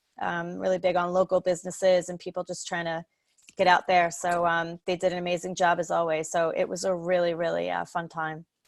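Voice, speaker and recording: A woman with a Long Island accent and a fairly low pitch is heard in a dry, close sound with no echo on a very clean recording with a silent background. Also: fairly quick pace. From Long Island, New York. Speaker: social worker in home care. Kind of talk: interview. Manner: animated.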